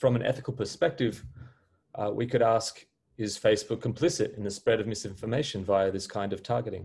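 A man talks at a very fast pace. His voice is somewhat breathy. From Australia. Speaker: philosophy professor. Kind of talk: welcome message. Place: home room. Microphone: webcam.

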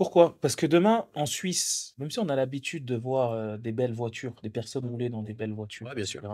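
A man's dark, mellow voice at a fairly quick pace, hardly any pauses, big swings in loudness, and a quiet background. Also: ordinary pitch variation. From France, Swiss border area; France. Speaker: entrepreneur; interviewee. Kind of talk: casual chat; interview answer. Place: cafe. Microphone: handheld.

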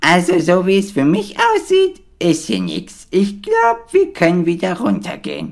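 A cartoonish character voice, female-sounding and middle-pitched, at a moderate pace with hardly any pauses. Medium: puppet show.

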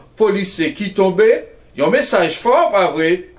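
A man speaks with a high pitch. His pace is very slow. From Haiti. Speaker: TV talk show host. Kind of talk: TV interview. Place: studio.

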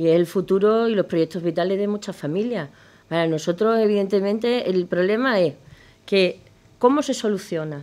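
At a moderate pace, a woman talks in a dark, mellow tone with ordinary pitch variation. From Extremadura, Spain. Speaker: politician. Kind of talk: political debate. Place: studio. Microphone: studio mic.

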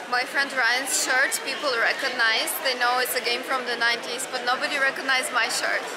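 Over loud background noise, a woman talks at a fairly quick pace with hardly any pauses. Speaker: vlogger. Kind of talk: casual vlog chat. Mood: earnest, a little somber.

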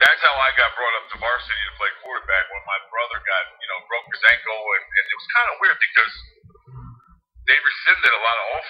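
This man talks at a fairly quick pace with an American accent. His loudness swings widely. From New Jersey (Harrison, Hudson County). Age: 40s. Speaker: former pro football quarterback and sports analyst. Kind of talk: casual interview.

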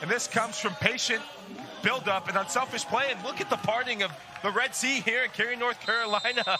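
Over noticeable background noise, a man with an extremely high pitch talks at a fairly quick pace with ordinary pitch variation. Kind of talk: live color commentary, analysis. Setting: tournament match broadcast, outdoors. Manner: relaxed, chatty, laughing, conversational analyst.

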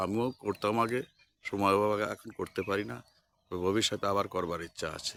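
This is an unremarkable speaking voice with ordinary pitch variation. The very clean recording has a silent background and a dry, close sound with no echo. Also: man. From West Bengal, India. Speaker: village vlogger. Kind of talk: walking vlog narration. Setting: outdoors.

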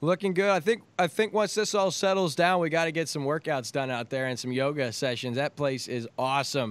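A man talks at a fairly quick pace and fairly high pitch, with hardly any pauses. His upbeat tone and lively intonation come through a dry sound with no echo. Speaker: local TV host. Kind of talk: casual chat. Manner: friendly, upbeat. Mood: upbeat, friendly. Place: home room. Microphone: studio mic.

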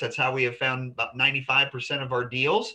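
Quiet surroundings, a man, a moderate pace. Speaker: real estate investor group host. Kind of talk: educational webinar. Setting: video call. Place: office. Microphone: video call.

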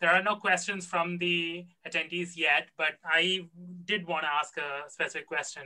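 A man speaks at a moderate pace. The background is quiet. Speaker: conference emcee. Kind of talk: moderated Q&A. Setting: video call. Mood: curious, friendly. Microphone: webcam.

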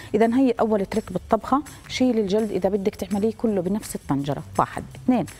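The speaker is a woman. She goes at a fairly quick pace with ordinary pitch variation. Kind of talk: tutorial. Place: studio. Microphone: lapel.

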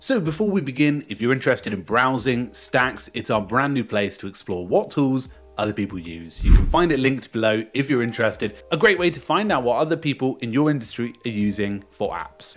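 A man's fairly quick delivery with hardly any pauses, faint music in the background. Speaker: news presenter. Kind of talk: tutorial commentary. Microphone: studio mic.

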